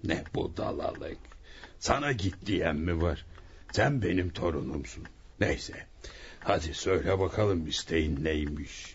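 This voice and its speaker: A gruff put-on character voice moves at a fairly slow pace with lively intonation and very even loudness over clear background noise. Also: man, very deep, low pitch for a man. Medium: audio drama. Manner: mocking, gruff, chuckling.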